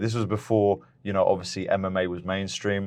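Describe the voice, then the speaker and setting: A man with a British accent, very deep and low in pitch, with fairly even intonation. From England (moved from Lithuania at age three). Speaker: MMA fighter. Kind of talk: podcast interview.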